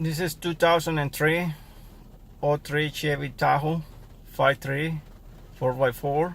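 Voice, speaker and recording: A man with a non-native accent speaks very slowly, with long, frequent pauses. His fairly high pitch stays monotone and flat. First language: not English. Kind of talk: casual car repair talk to camera.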